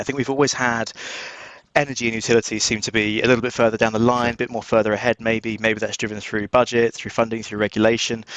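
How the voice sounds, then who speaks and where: Here a man speaks in an English accent. His voice is medium in pitch and his pace very fast. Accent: English accent, noticeable. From southern England, just outside London. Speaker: cybersecurity recruitment director. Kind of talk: podcast interview.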